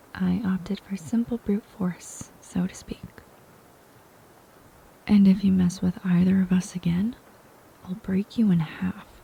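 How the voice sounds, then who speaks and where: Soft-spoken and flat, this monotone voice moves at a moderate pace over noticeable background noise. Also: woman. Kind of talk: audiobook reading.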